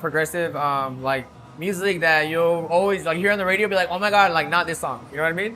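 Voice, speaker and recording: Over music in the background, a man speaks very fast at a high pitch with fairly even intonation. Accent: Spanish. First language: Spanish. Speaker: DJ and music producer. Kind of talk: casual interview chat. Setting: nightclub. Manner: casual, lots of filler words.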